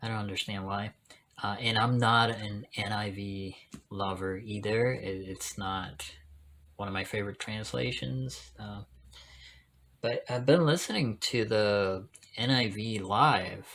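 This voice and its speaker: A man at a fairly low pitch, with ordinary pitch variation, a fairly slow pace and long, frequent pauses. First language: Spanish. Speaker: Bible video creator, interpreter. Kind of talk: casual talk to camera. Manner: hesitant, many fillers.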